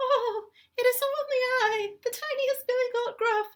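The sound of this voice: This is a put-on character voice, squeaky and extremely high in pitch. It moves along at a moderate pace.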